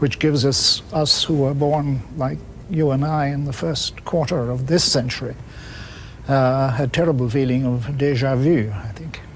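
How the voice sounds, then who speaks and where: Audible room echo surrounds a man speaking in an Irish accent at a fairly slow pace. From Ireland. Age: 70s. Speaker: public intellectual, discussion moderator. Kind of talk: panel discussion.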